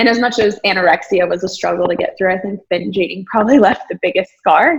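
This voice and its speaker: A woman with a Texan accent talks at a very fast pace and a medium pitch. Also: ordinary pitch variation. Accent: Texan American. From rural Texas, US. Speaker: businesswoman and entrepreneur. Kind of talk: interview. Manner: casual, many filler words.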